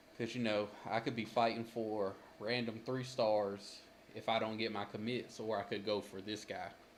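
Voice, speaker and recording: Over noticeable background noise, a man talks at a moderate pace with monotone, flat intonation. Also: medium pitch for a man. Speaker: gaming streamer. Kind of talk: gameplay commentary.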